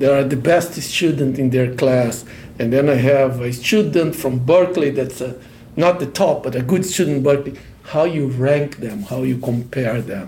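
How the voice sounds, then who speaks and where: A man at a moderate pace, fairly high in pitch, with ordinary pitch variation. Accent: Portuguese. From Brazil. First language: Portuguese. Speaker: professor. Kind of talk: casual chat.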